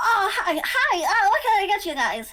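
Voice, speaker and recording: In a put-on character voice, a woman squeaks at an extremely high pitch and a moderate pace. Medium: actual play. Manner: bubbly, friendly.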